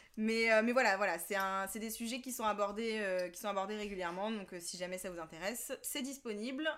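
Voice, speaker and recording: A woman speaks with a plain, everyday voice at a moderate pace. Her pitch is fairly high, with ordinary pitch variation. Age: 30s. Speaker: podcast guest. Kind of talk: casual chat.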